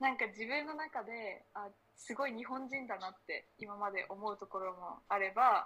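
This woman has a normal speaking voice. Her pitch is fairly high. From Japan, Akita. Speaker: university student. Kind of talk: casual chat.

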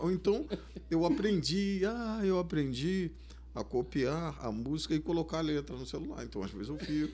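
Speaking at a moderate speed, a man's voice carries audible room echo. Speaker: samba cavaquinho player and composer. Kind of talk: casual interview chat.

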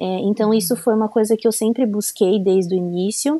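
A woman speaks in a fairly high pitch with a dark, mellow tone. The sound is dry and close, with no echo. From Brazil, São Paulo. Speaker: former bank clerk, homemaker. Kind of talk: testimony.

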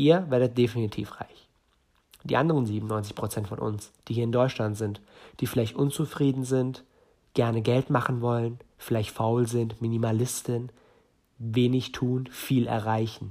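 A man talks at a fairly slow pace and medium pitch. His tone is dark and mellow, with fairly even intonation. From northern Germany. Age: 20s. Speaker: entrepreneur podcaster. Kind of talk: solo podcast monologue.

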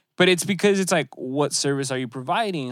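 Recorded very cleanly against a silent background, an unremarkable speaking voice moves at a fairly quick pace with ordinary pitch variation. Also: man. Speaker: podcast host. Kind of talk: casual chat.

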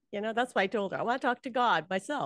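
Set against a quiet background, a woman with a Hawaiian accent is heard in a dry, close sound with no echo. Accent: Hawaii American English. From Hawaii, Honolulu. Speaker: psychic medium. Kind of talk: interview.

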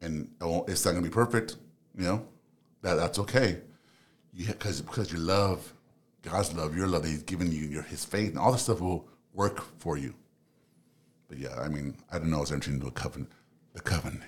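A man with an American accent has very deep, low pitch and vocal fry. He keeps a fairly quick pace despite long, frequent pauses. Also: ordinary pitch variation. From Los Angeles, US. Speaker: psychology student and relationship podcaster. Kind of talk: casual interview.

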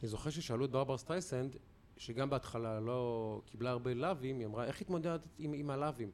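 An unremarkable speaking voice from a man, medium in pitch, fairly quick in pace, with ordinary pitch variation. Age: 40s. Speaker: sports commentator and podcast host. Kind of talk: casual chat.

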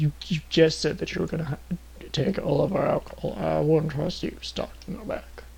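A put-on character voice moves at a moderate pace. Light background noise is present.

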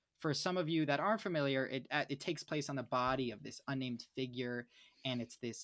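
This is a plain, everyday voice from a man at medium pitch, moving at a fairly quick pace with ordinary pitch variation. The recording is very clean, dry and close, with a silent background and no echo. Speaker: podcast co-host. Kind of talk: casual chat.

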